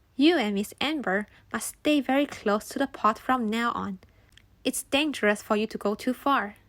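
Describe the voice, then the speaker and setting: Using a croaky, put-on character voice, a woman speaks at a moderate pace and a fairly high pitch. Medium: read story. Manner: polite, dutiful.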